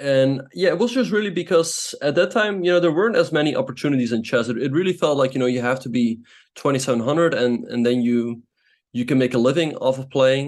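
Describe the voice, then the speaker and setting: A man speaks at a very fast pace with a non-native accent. His fairly high pitch carries lively intonation. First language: not English. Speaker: chess grandmaster and streamer. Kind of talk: interview.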